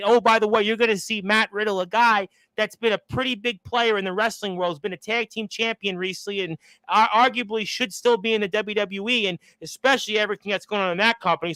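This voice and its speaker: In a very clean recording with a silent background and a dry, close sound with no echo, a high-pitched man uses a raised, projected voice with a bright, sharp tone at a very fast pace. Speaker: radio show host. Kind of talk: event promo pitch. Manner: enthusiastic.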